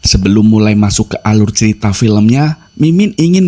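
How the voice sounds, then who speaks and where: With a dark, mellow tone and fairly low pitch, a man speaks at a moderate pace with lively intonation in a dry, close sound with no echo. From Java, Indonesia. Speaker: movie recap narrator. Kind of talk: scripted narration.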